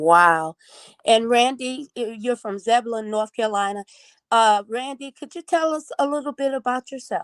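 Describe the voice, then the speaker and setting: Lively intonation runs through an unremarkable speaking voice at a moderate pace. No echo colors the dry, close sound. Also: woman, fairly high pitch for a woman, quiet background. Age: 60s. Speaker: evangelist and talk show host. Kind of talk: interview. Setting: live video stream.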